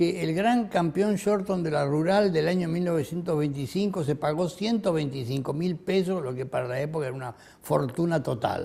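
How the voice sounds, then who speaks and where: This man's pitch sits high, varies in an ordinary way, and flows at a moderate pace with hardly any pauses. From Argentina, Buenos Aires. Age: 80s+. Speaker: retired physician. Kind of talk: autobiographical interview. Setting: at home. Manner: halting, with many fillers.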